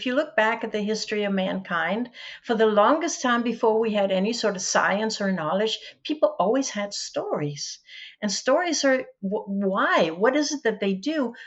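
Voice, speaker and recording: A woman with a Danish accent speaks at a moderate pace, her fairly high voice carrying lively intonation. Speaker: educator and author. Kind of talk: podcast interview.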